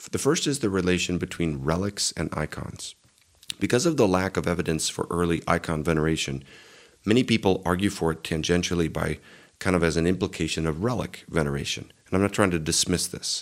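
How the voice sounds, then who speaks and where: With a very deep, low pitch and ordinary pitch variation, a man talks at a fairly quick pace. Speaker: pastor and apologetics video creator. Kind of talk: video commentary monologue.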